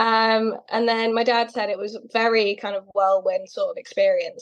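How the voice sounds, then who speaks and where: A woman with a British accent and monotone, flat intonation. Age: 20s. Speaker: person with a rare condition, model. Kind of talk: interview. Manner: casual, hesitant with fillers.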